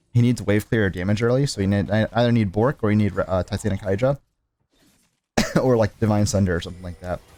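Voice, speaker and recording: Over background music, a man talks at a very fast pace and fairly low pitch with ordinary pitch variation, in a dry, close sound with no echo. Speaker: gaming commentator. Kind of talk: gameplay commentary. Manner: casual, filler-heavy.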